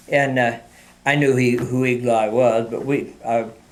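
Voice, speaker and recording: In an American accent, a man speaks with monotone, flat intonation amid audible room echo. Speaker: retired mail carrier. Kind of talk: oral history interview. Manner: halting, many fillers.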